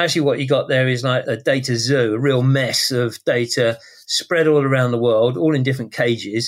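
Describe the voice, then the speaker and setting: At a medium pitch, a man talks with fairly even intonation and very even loudness. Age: 60s. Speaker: tech company CEO. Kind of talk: interview. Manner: sounds young for his age.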